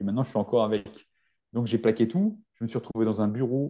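Fairly even intonation and medium pitch shape the speech of a man with a plain, everyday voice. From rural France. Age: 40s. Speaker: naturopath and nutrition adviser. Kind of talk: podcast interview.

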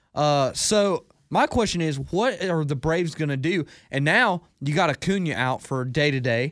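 On a very clean recording with a silent background, a man with an American accent and a plain, everyday voice speaks at a fairly high pitch with lively intonation. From US South (Hartwell, Georgia). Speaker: sports podcast co-host, college student. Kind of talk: casual chat. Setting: studio.

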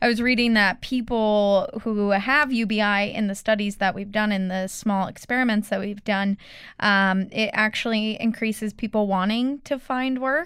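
Hardly pausing at all, a woman speaks at a moderate pace in an ordinary speaking voice, her fairly high pitch held to fairly even intonation on a very clean recording with a silent background. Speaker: student. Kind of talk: casual chat.

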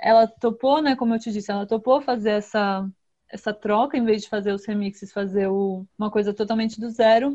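Speaking with a strong São Paulo accent, a woman uses a fairly high pitch, a moderate pace, and fairly even intonation. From São Paulo, Brazil. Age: young. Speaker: singer-songwriter. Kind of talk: interview.

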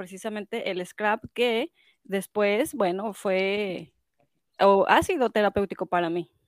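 A woman's fairly high voice with a Mexican accent, at a fairly slow pace with ordinary pitch variation, in dry, close sound with no echo. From Mexico. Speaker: scrapbooking shop owner and event organizer. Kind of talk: casual chat.

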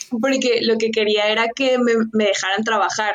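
Fairly high in pitch, a woman speaks with monotone, flat intonation. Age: 20s. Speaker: nutrition consultant and entrepreneur. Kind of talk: interview.

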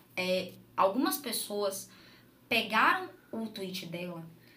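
Noticeable background noise and audible room echo surround a woman's speech. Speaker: mother, gamer and game event organizer. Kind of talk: casual chat. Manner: talkative.

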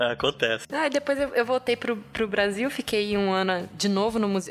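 Noticeable background noise surrounds a woman speaking at a fairly quick pace. Her medium-pitched voice has lively intonation. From Brazil, Rio de Janeiro. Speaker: paleontologist. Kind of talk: casual chat.

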